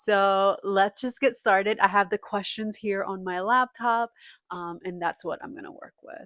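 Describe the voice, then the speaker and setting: In a Spanish accent, a woman speaks at medium pitch and a moderate pace with ordinary pitch variation. Her loudness swings widely. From Puerto Rico. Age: 30s. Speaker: booktuber. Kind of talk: casual vlog talk. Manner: hesitant, many fillers.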